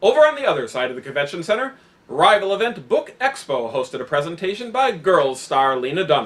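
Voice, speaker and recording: Very wide pitch swings mark this very fast delivery. Noticeable background noise sits behind it. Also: man, high pitch for a man. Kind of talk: satirical news anchor banter, scripted comedy.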